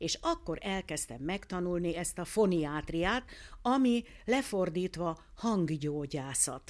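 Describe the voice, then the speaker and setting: A woman with a fairly low pitch speaks at a very slow pace with lively intonation. The recording is very clean, with a silent background. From Hungary. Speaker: ear, nose and throat doctor and phoniatrist. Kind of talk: interview.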